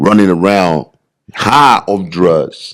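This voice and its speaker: A man with an American accent. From Liberia. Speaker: bodybuilder. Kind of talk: podcast interview, personal life story. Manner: animated, conversational.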